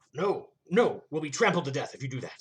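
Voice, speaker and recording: A man puts on a character voice, pitched high and moving at a fairly quick pace. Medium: read story. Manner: mournful, wry.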